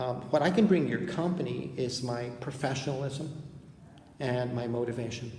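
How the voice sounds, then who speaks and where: Someone speaks at a moderate pace with ordinary pitch variation, with noticeable background noise and audible room echo. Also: man. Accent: American. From Texas. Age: 50s. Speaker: English teacher. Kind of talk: video job application and sample lesson.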